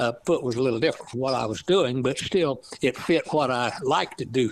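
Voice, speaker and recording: A man speaks at a fairly quick pace with a strong East Texas accent. His pitch is medium, with ordinary variation. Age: 80s+. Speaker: author, retired lab scientist. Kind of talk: interview. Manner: halting.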